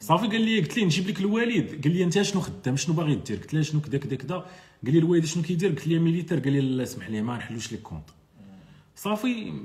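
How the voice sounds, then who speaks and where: Very wide pitch swings mark this man's fairly high voice. He talks at a very fast pace. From Morocco, Marrakech; Morocco. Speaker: e-commerce entrepreneur and web developer; content creator. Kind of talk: live stream chat with viewers. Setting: Instagram live. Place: home room. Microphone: phone near.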